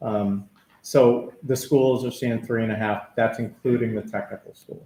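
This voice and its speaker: A man's somewhat breathy voice with a dark, mellow tone, medium pitch, fairly even intonation and a fairly slow pace. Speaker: town finance official. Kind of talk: budget presentation.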